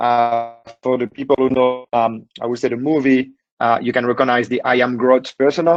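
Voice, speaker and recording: At a moderate pace, a man talks in a French accent. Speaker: cybersecurity executive. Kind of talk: webinar presentation. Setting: online webinar, working remotely. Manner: halting, many fillers.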